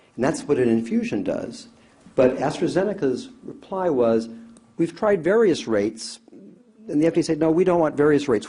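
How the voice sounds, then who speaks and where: Man with a dark, mellow tone at a moderate pace, with audible room echo. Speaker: anesthesiologist expert witness. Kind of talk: court testimony. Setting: courtroom.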